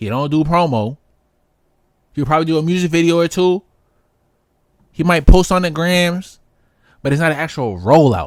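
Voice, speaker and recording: Loud and animated, a man with a high-pitched voice speaks with lively intonation in a dry, close, echo-free recording with a silent background. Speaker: music reaction streamer. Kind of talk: reaction commentary. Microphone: distorted from screaming into the mic.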